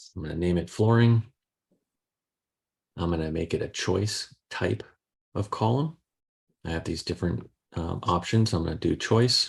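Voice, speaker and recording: A somewhat breathy male voice at a moderate pace. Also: quiet background. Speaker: software trainer / guest speaker. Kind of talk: tutorial.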